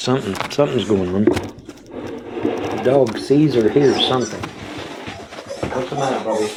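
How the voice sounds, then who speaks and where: Over noticeable background noise and audible room echo, a man speaks at a medium pitch and a fairly slow pace with ordinary pitch variation. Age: 60s. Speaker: livestreamer. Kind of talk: casual live stream chat. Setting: motel room.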